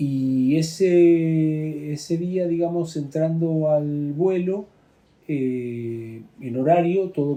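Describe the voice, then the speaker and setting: Fairly high-pitched with a dark, mellow tone, a man speaks with ordinary pitch variation. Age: 60s. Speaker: plane crash survivor, former UN worker. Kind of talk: testimony. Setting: drinking wine in Santiago. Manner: halting, many fillers.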